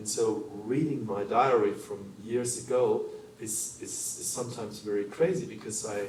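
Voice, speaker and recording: A man's medium-pitched voice with a German accent, at a moderate pace with ordinary pitch variation and big swings in loudness, amid noticeable background noise and audible room echo. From Germany. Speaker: human rights lawyer. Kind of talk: panel discussion. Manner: halting.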